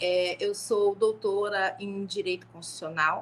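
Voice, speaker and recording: A woman at a medium pitch speaks at a very slow pace. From Brazil, Niterói, Rio de Janeiro state. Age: 50s. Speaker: law professor. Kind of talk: panel talk on a live stream.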